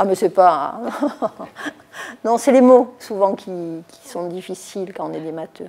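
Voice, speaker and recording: At a very slow pace, the speech has long, frequent pauses, big swings in loudness and ordinary pitch variation. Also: woman. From Toulon, southern France. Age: 70s. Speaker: mayor. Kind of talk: interview. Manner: hesitant, many fillers.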